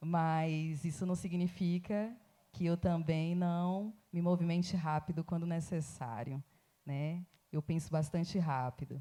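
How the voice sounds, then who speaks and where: With a Bahian accent, a woman speaks very slowly in a fairly low, dark and mellow voice, keeping very even loudness and fairly even intonation in a very clean recording with a silent background. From Bahia, Recôncavo. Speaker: academic, writer. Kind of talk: festival panel talk.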